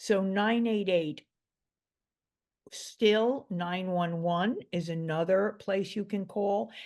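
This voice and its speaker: A woman with a New York accent at a very slow pace, medium pitch with ordinary variation, long, frequent pauses, and a quiet background. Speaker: mental health expert. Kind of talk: interview.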